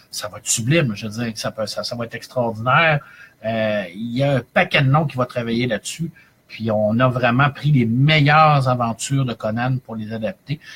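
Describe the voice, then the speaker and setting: At a moderate pace, a man with a Quebec accent talks in a medium pitch with ordinary pitch variation. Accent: Québécois French. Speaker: librarian and comics reviewer. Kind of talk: live-streamed review chronicle. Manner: animated, many hesitations.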